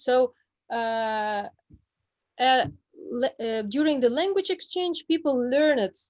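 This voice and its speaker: A woman speaks very slowly in a Russian accent. Her pitch swings very widely. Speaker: Russian language teacher. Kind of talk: online group presentation. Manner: halting, many fillers.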